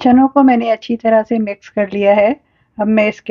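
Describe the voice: A woman's medium-pitched voice with fairly even intonation, dry and close with no echo.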